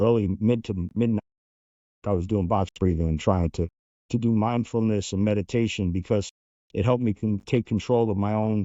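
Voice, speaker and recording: A man with an American accent, fairly low pitch, fairly even intonation and very even loudness. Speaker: former undercover agent. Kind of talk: interview. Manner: fast.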